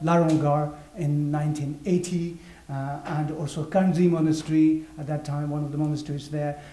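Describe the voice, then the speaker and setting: With audible room echo, a man talks in monotone, flat intonation. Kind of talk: interpreted lecture. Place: hall.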